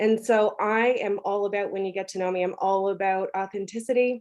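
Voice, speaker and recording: A woman with a Newfoundland accent speaks at a medium pitch and a fairly slow pace in a monotone, flat intonation. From Newfoundland, Canada. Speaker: content strategist. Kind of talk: podcast interview.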